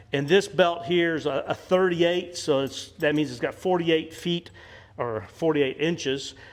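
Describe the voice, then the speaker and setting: With an American accent, a man speaks at a fairly slow pace. His pitch is fairly high, with ordinary pitch variation. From US Midwest. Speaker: leathercraft youtuber. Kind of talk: tutorial. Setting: workshop. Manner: halting.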